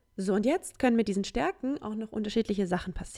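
With vocal fry and lively intonation, a woman talks at a fairly high pitch. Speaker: solo podcaster. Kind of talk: casual monologue.

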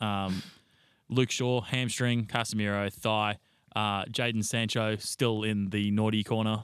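On a very clean recording with a silent background, a man with an Australian accent speaks at a moderate pace in a fairly low, monotone voice with flat intonation. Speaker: podcast co-host. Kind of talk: casual chat.

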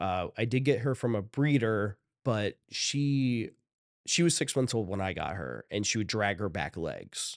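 At a fairly slow pace, a man speaks with medium pitch and lively intonation. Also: quiet background. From Ohio, US Midwest. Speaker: creative manager and video producer. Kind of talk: casual interview chat.

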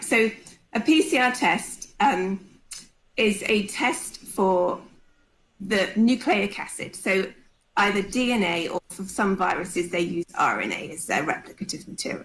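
A woman speaks very slowly in a British accent, at medium pitch with ordinary pitch variation. Her loudness swings widely. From UK. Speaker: pathologist. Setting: video call.

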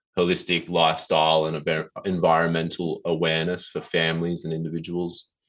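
With an Australian accent, a man speaks in a very deep, low voice against a quiet background. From Australia, Southern Highlands NSW. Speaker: nature education director. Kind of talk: interview.

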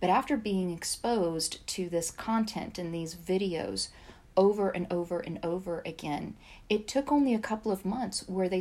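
Noticeable background noise sits behind a woman speaking at a fairly slow pace in an American accent. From US South, Georgia. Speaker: AI ethics practitioner. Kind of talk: casual interview conversation.

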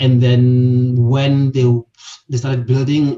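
This man's voice sits at a medium pitch, somewhat breathy, with a dark, mellow tone. His intonation stays monotone and flat. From South Africa, Limpopo. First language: a South African language other than English. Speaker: property investor. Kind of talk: interview. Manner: halting, many fillers and repetitions.

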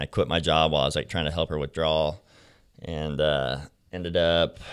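At a moderate pace, a man speaks with vocal fry on a very clean recording with a silent background. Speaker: former pro BMX rider in recovery, now works to help kids with addiction. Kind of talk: casual interview chat, telling his life story. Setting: studio.

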